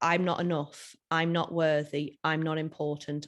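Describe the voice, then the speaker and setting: A woman's fairly low voice with a British accent. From UK. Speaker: self-love coach and speaker. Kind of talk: interview conversation. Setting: Instagram live video.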